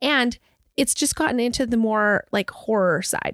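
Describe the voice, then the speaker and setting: An unremarkable speaking voice moves at a fairly slow pace with ordinary pitch variation, recorded dry and close with no echo on a very clean, silent background. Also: woman. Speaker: podcast host. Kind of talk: casual chat.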